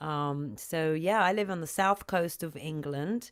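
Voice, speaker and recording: With a slight British accent, a woman speaks at a fairly slow pace in a very deep, low pitch with lively intonation. The recording is very clean, with a silent background. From UK. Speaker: singer and sound healer. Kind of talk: interview on livestream.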